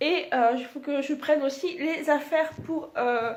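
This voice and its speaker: A woman's high voice at a very slow pace, with fairly even intonation. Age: 20s. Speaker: vlogger. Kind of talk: casual talk to camera.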